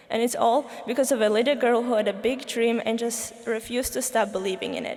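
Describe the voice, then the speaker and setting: On a recording with audible room echo and noticeable background noise, a woman speaks at a fairly high pitch and a fairly quick pace in a monotone, flat intonation. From Slovakia. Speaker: student commencement speaker. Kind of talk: commencement speech. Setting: stage with audience.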